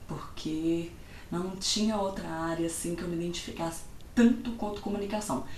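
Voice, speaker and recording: In a Minas Gerais accent, a woman speaks at medium pitch amid audible room echo and noticeable background noise. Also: ordinary pitch variation, moderate pace. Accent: Mineiro Brazilian Portuguese. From Minas Gerais, Brazil. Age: 20s. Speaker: vlogger. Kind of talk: casual vlog talk.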